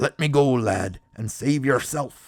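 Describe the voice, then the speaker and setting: A man puts on a raspy character voice at medium pitch, speaking at a fairly slow pace. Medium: read story.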